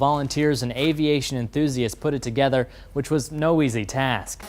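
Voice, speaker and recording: A man talks in a plain, everyday voice with a fairly high pitch. His pace is moderate and his intonation fairly even. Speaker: television news reporter. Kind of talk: TV news package narration.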